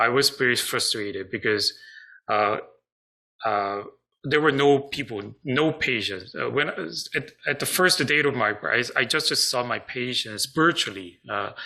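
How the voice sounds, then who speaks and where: A man's medium-pitched voice, bright and sharp in tone, with lively intonation, a moderate pace and a Korean accent. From South Korea. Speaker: psychiatrist. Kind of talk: online seminar presentation. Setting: online video seminar. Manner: halting, many fillers.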